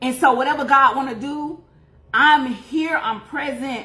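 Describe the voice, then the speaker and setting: A woman projects her high voice loudly at a fairly slow pace. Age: 40s. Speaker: faith and beauty livestreamer, life coach. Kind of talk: testimony. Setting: livestream. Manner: casual, conversational.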